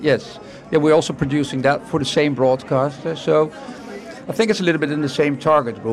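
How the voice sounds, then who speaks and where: At a moderate pace, a man talks in a fairly high pitch with ordinary pitch variation over noticeable background noise. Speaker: TV production executive. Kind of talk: interview at a trade event.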